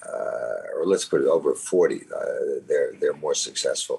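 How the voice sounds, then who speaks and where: A man's extremely high-pitched voice at a fairly slow pace. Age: 80s+. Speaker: venture capitalist. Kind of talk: interview answer. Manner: hesitant, many filler words.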